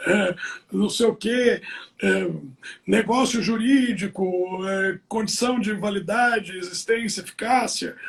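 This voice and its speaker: A very slow pace with long, frequent pauses and fairly even intonation. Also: man, high pitch for a man. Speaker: law professor. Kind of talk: casual chat.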